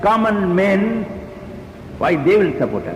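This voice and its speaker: A man with an Indian accent at a very slow pace, over noticeable background noise. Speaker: trade union leader. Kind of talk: public speech.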